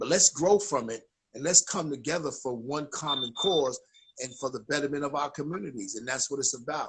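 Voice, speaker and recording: A man with a New York accent speaks at a fairly high pitch with ordinary pitch variation. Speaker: chaplain, ministry founder. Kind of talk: casual livestream talk. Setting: Instagram live stream. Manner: animated.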